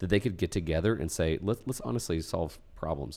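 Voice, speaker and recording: In a very clean recording with a silent background, a man speaks very deep and low, with vocal fry, lively intonation and a dark, mellow tone. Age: 40s. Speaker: educator and entrepreneurship guest. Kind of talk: casual chat. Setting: studio.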